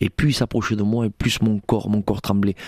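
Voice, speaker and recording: A man's fairly low-pitched voice moves along at a moderate pace. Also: dry, close sound with no echo. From Spanish Gitano community, southwest France. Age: 40s. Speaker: pastor. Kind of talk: testimony. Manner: halting, repeats words.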